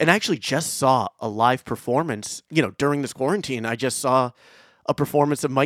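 A man with a plain, everyday voice at a fairly quick pace, ordinary pitch variation, dry, close sound with no echo, and a very clean recording with a silent background. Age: 30s. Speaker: podcast host and musician. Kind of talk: casual chat.

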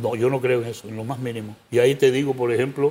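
A man talks at a moderate speed in a dark, mellow tone. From Panama. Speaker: presidential pre-candidate and lawyer. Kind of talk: interview.

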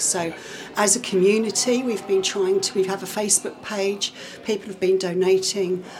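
A woman speaks with monotone, flat intonation. Noticeable background noise runs under her voice. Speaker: parish council clerk. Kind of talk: casual interview chat. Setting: village hall event.

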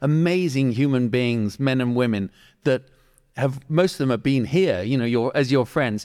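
A man speaks in an ordinary speaking voice at a moderate pace, with medium pitch, ordinary pitch variation and very even loudness, on a very clean recording with a silent background. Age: 50s. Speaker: podcast host. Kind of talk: casual chat. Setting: garage.

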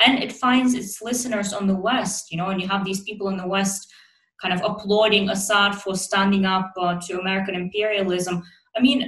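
An ordinary speaking voice from a woman, medium in pitch, at a fairly quick pace with fairly even intonation. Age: 20s. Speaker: podcast host. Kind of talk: scripted narration; interview.

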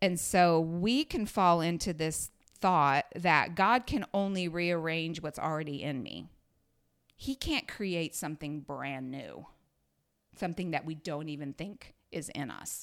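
In an unremarkable speaking voice, a woman talks at a fairly slow pace with fairly low pitch and ordinary pitch variation. Her loudness swings widely, and the recording is very clean with a silent background. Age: 50s. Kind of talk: casual chat.

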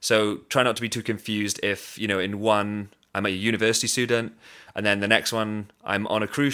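With a Welsh accent, a man speaks in a monotone at a fairly low pitch, his tone bright and sharp, on a very clean recording with a silent background. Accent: Welsh (Swansea). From Wales, Swansea. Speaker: podcast host and professional drummer. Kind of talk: monologue introduction.

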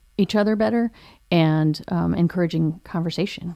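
This woman's fairly low voice has a dark, mellow tone on a very clean recording with a silent background. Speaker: college staff podcast host. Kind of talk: casual chat. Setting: studio.

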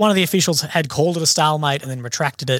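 Recorded very cleanly against a silent background, a man with an Australian accent speaks with ordinary pitch variation. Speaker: army veteran and independent journalist. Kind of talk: casual chat. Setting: studio.

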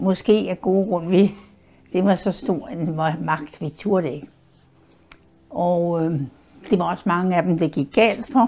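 A woman's dark, mellow tone at a very slow pace, broken by long, frequent pauses. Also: fairly low pitch for a woman, ordinary pitch variation. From Denmark. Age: 90s. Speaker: WWII eyewitness. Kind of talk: oral history interview. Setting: her apartment in a care home.

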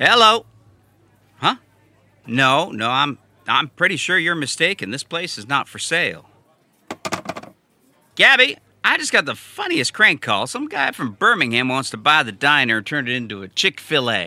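A man puts on a character voice, fairly high-pitched with a bright, sharp tone. His pitch swings widely at a moderate pace.

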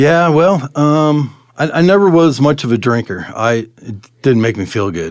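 The voice moves at a fairly slow pace through very wide pitch swings. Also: man, fairly high pitch for a man. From Colorado, US (moved from California at ten). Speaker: city utilities worker sharing his life story. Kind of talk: testimony. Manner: halting, many fillers and restarts.

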